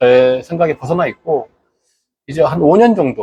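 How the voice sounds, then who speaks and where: A man with a fairly high pitch and a dark, mellow tone speaks at a moderate pace with lively intonation. The sound is dry and close, with no echo. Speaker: local online broadcaster. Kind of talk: monologue address to viewers. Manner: hesitant, filler words.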